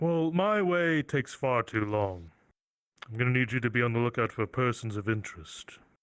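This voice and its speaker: In a very clean recording with a silent background, a man uses a put-on character voice at medium pitch. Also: moderate pace. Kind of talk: roleplay villain speech. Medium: game stream. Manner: formal, archaic phrasing; measured, ominous.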